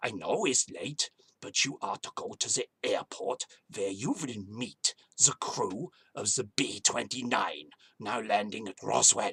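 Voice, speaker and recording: A man speaks fairly slowly in a put-on character voice at a medium pitch, the sound dry and close with no echo. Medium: solo performance. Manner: curt, clipped demands.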